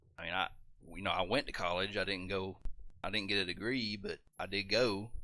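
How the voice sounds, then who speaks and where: A man with a Southern US accent talks at a fairly quick pace, his fairly low voice bright and sharp in tone with fairly even intonation. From US South. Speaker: gaming streamer. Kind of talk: casual chat while livestreaming a game.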